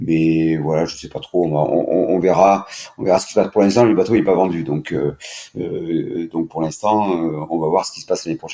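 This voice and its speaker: A man speaks in a very deep, low voice at a moderate pace. His intonation stays fairly even, though his loudness swings a lot. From southern France (Languedoc). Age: 60s. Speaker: offshore sailing skipper. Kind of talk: podcast interview. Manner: hesitant, many fillers and repetitions.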